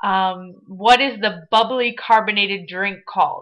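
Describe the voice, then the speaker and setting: The voice carries an American accent and a bright, sharp tone. Its pitch varies in an ordinary way. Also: woman. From Michigan (Detroit area), also Ohio and Florida. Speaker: vlogger. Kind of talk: casual webcam vlog.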